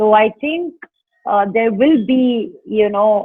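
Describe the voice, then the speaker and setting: A fairly high-pitched woman's voice with lively intonation. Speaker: actress. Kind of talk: interview answer. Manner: animated, expressive.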